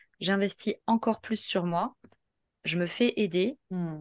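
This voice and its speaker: A woman with a medium-pitched voice and ordinary pitch variation speaks at a very slow pace, the sound dry and close with no echo against a quiet background. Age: 30s. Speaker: podcast guest sharing personal testimony. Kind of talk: testimony. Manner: halting.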